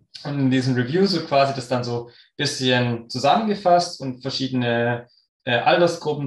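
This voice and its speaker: This is a man with a plain, everyday voice. His pitch varies in an ordinary way. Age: 30s. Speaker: sports scientist and runner. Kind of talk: podcast interview.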